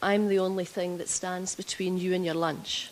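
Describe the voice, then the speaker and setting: A woman with a strong Scottish accent. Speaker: health executive. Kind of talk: conference presentation. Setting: stage with audience. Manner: deliberately slower.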